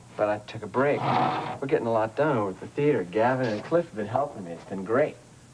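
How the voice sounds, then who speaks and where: A man talks at a very fast pace with hardly any pauses, and his loudness swings widely. Noticeable background noise runs underneath. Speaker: soap opera actor. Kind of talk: scripted drama dialogue. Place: studio.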